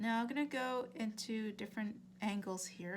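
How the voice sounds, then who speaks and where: Fairly even, medium-pitched female speech against noticeable background noise. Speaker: art instructor. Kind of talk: tutorial. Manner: casual, with many fillers and restarts; fairly quick.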